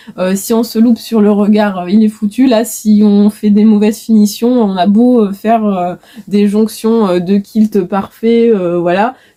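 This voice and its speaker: A woman's fairly high voice, fairly slow and monotone, flat in intonation, over noticeable background noise. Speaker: knitting and crochet vlogger. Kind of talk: casual video podcast chat. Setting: home workshop, facing camera. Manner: many filler hesitations.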